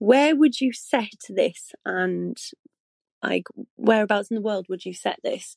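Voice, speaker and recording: Speaking very slowly with a British accent, a woman swings widely in loudness, the sound dry and close with no echo. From UK. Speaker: voicemail caller, fan of the show. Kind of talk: recorded voicemail.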